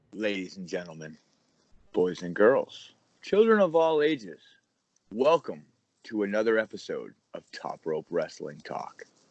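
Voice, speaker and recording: Putting on a booming character voice, a man speaks at a medium pitch and moderate pace with long, frequent pauses. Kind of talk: showy broadcast announcer style. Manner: big, booming announcer delivery.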